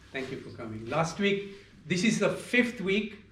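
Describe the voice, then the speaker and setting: A man's pitch rises and falls very widely as audible room echo hangs around his voice. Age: 70s. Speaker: yoga teacher. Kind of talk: yoga class talk.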